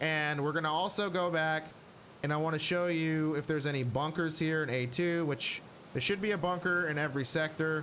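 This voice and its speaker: Here a man speaks at a moderate pace in a fairly high, bright, sharp tone with fairly even intonation. His loudness stays very even, and room echo is audible. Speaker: gaming youtuber. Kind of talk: tutorial. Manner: casual, filler words.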